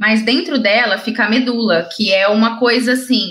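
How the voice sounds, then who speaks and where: A woman speaks at a moderate pace. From Brazil, interior of São Paulo state (Ribeirão Preto). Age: 30s. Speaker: wheelchair triathlete and speaker. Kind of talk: interview, personal story. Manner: talkative, fluent.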